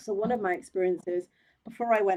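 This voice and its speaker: With a dark, mellow tone, a woman speaks at a moderate pace in a medium pitch with ordinary pitch variation. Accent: English. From England, Oxford. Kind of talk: interview.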